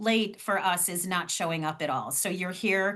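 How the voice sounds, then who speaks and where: A woman with a Cleveland accent speaks in an animated tone that sounds bright and sharp. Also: quiet background. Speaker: fundraising trainer. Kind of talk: online training session.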